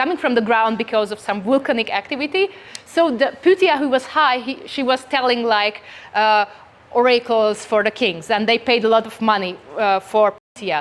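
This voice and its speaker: A woman speaks at a moderate pace with a Hungarian accent. Her pitch is fairly high and her intonation lively. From rural Hungary. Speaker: company CEO, conference speaker. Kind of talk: conference talk. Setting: stage with audience. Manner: halting with fillers and restarts.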